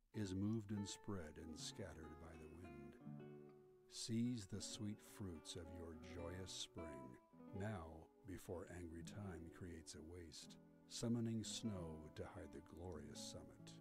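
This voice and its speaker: Over clear background music, a man talks at a very slow pace. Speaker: voice actor. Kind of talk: poetry reading. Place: studio. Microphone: studio mic.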